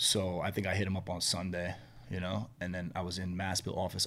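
This man has a New York accent. His voice is very deep and low. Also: very clean recording, silent background. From New York City. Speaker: restaurant entrepreneur. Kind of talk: casual chat.

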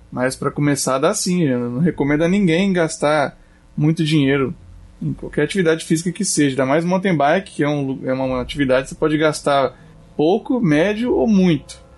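With a normal speaking voice, the speaker moves at a fairly quick pace, using ordinary pitch variation and very even loudness. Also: man, fairly high pitch for a man. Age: 30s. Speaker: shop owner and outdoor sports enthusiast. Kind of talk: casual chat.

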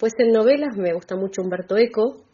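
A woman talks in a plain, everyday voice. Her pace is fairly quick, with ordinary pitch variation. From Argentina, Bahía Blanca. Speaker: writer and teacher. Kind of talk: radio interview.

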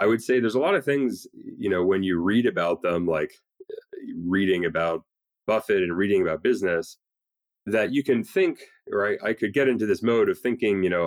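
A man's plain, everyday voice, fairly low in pitch with ordinary pitch variation, at a fairly quick pace, with a dry, close sound and no echo. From Canada, Toronto. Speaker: entrepreneur and investor. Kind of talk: interview.

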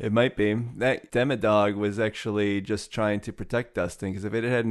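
At a fairly quick pace, a man with a plain, everyday voice speaks at a fairly low pitch with fairly even intonation. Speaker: podcast host. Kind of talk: casual chat.

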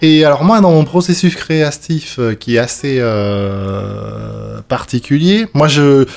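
A man speaks in a fairly high voice at a very slow pace, his pitch swinging very widely. He hardly pauses, and noticeable background noise runs underneath. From southwest France (Bordeaux, Lot-et-Garonne). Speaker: demoscene programmer. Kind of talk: casual chat. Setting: on a couch with beers. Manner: talkative.

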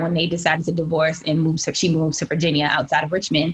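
A woman at a fairly low pitch and a very fast pace, with noticeable background noise. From Michigan, Benton Harbor. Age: 20s. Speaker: guest. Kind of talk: casual chat. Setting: video call.

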